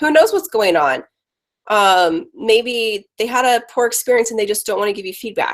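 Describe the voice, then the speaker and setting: A woman's plain, everyday voice with fairly high pitch, ordinary pitch variation and a moderate pace. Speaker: marketing agency owner. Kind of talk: webinar presentation.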